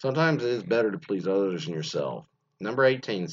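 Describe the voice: Against a quiet backdrop, someone reads aloud plainly with lively intonation.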